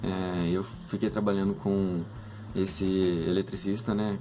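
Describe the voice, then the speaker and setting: A fairly low male voice at a fairly slow pace, with music in the background. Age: 20s. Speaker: engineering student. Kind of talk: casual talk to students about a career. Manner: hesitant, many fillers.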